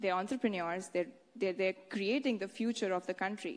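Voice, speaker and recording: A woman with an Indian accent at a moderate pace. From Haryana, India. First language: Haryanvi. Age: 20s. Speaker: beauty pageant winner, medical student. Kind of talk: public speech.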